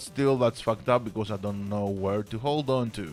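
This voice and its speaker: Music plays behind a man with a strong Greek accent. He talks at a moderate pace with ordinary pitch variation. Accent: heavy Greek. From Greece. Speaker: podcast host. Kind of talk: casual livestream monologue. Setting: livestream.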